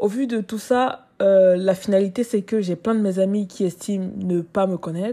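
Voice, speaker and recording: In a very clean recording with a silent background, a woman speaks at a medium pitch with a dark, mellow tone. Her intonation is fairly even and her pace fairly slow. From Cameroon. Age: 20s. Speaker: content creator and student podcaster. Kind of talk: personal monologue. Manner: casual, with hesitations.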